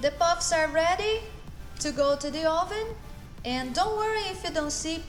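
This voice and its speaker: Music plays in the background as a woman with a Brazilian accent talks at an extremely high pitch. Her pace is moderate and her pitch variation ordinary. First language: Portuguese. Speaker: chef. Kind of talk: cooking tutorial to camera. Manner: upbeat, friendly.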